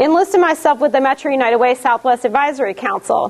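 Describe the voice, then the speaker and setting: With a Detroit accent, a high-pitched woman speaks with lively intonation against noticeable background noise. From US Midwest, Detroit. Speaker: community volunteer. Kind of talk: class presentation. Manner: casual, with fillers.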